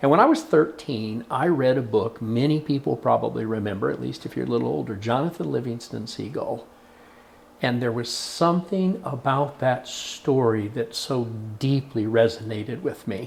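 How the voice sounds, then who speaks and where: A man speaks in an American accent at medium pitch. His pace is moderate, with lively intonation. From Oklahoma. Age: 60s. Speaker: storyteller. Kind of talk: interview. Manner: reflective, with hesitations.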